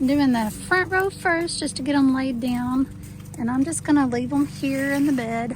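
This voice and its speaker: High-pitched woman with a Texas accent and ordinary pitch variation, against noticeable background noise. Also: moderate pace. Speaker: home gardener vlogger. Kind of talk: gardening tutorial. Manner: casual, hesitant with fillers.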